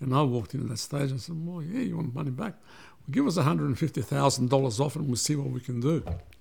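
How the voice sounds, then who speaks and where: Somewhat breathy and fairly high-pitched, a man talks with hardly any pauses and ordinary pitch variation. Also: moderate pace. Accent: Australian. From Australia (Melbourne), after early childhood in Belgrade and Vienna. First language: Serbian. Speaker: businessman and migrant community figure. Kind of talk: interview, personal life story.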